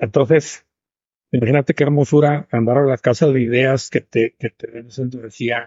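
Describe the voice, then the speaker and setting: A man speaks at a medium pitch with ordinary pitch variation. His pace is fairly slow and his voice somewhat breathy. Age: 70s. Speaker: businessman. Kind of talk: interview.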